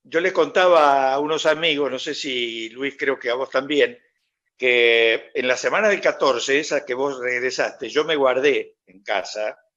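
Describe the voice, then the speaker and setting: A man talks at a fairly slow pace with ordinary pitch variation. His tone is bright and sharp. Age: 70s. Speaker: TV host. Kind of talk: video call interview. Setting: video call.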